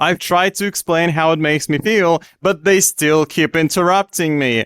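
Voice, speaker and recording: Over music in the background, a man with a fairly high pitch talks at a moderate pace in a dry, close sound with no echo. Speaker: streamer reacting to online posts. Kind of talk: reading a post aloud with reaction commentary. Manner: loud; animated.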